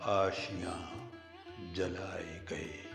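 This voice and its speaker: A man's fairly low voice over background music. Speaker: playwright, actor, radio voice. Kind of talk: poetry reading.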